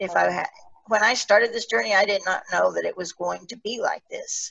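A woman speaks at a moderate pace. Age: 60s. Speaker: podcast host and medical cannabis patient. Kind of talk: casual discussion.

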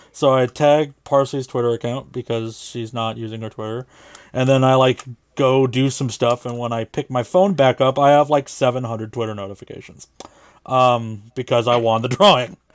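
At a moderate pace, a man talks in an ordinary speaking voice at medium pitch with fairly even intonation. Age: 30s. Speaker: podcast producer and co-host. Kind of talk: casual chat. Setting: video call.

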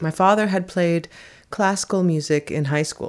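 A woman with an American accent, an ordinary speaking voice, ordinary pitch variation and a moderate pace. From US West Coast, San Francisco. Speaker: fiddler. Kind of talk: interview. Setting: living room of a private home.

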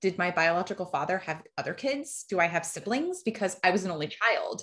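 A normal speaking voice from a woman, medium in pitch, fairly quick, with ordinary pitch variation. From New Jersey, US. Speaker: donor-conceived person sharing her story. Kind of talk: personal testimony in interview.

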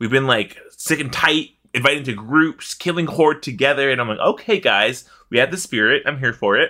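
A man speaks in an animated, bright and sharp tone. The recording is very clean, with a silent background. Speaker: podcast host. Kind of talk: casual chat. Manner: animated, laughs often.

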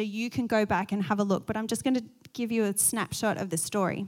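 This woman has a fairly high voice and an Australian accent, speaking at a moderate pace. The recording is very clean, with a silent background. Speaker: pastor. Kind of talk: sermon.

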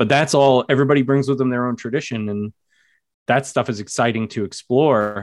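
Speaking with an American accent, a man uses a medium pitch and fairly even intonation at a fairly quick pace. The recording is very clean, with a silent background. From New York. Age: 30s. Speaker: English teacher and horror author. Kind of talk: casual interview chat.

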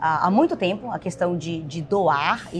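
A woman talks with noticeable background noise around her. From Bahia, Brazil. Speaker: podcast co-host, entrepreneur. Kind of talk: casual chat.

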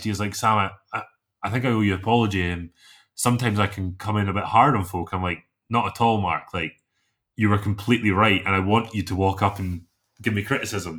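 A man speaks in a Scottish accent at a very fast pace. His pitch is fairly low. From south of Scotland. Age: 20s. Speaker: chainsaw carver. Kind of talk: casual interview. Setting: remote call.

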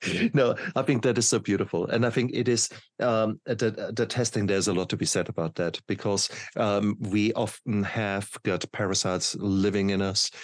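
A man with a German accent speaks at a fairly low pitch, his loudness very even. His intonation is fairly even, and the background is quiet. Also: moderate pace. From Germany. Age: 50s. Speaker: podcast host, doctor. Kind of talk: interview.

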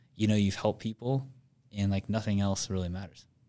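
A man talks at a fairly quick pace in a flat monotone, recorded very cleanly against a silent background. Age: 20s. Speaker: business owner. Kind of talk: casual chat.

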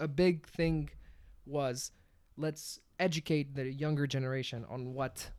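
Speaking at a fairly slow pace, a man uses a fairly high pitch. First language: not English. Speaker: podcast co-host. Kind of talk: casual chat. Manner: animated.

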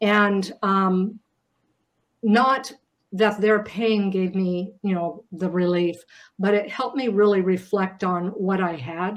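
A woman with an American accent speaks very slowly at medium pitch. Her intonation is fairly even, and the background is quiet. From US rural farm town. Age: 60s. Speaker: memoir author. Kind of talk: panel discussion.

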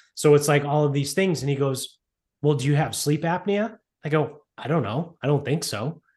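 Against a quiet background, a somewhat breathy man speaks at a moderate pace, his fairly high pitch showing ordinary variation. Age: 30s. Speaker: podcast co-host. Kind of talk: casual chat.

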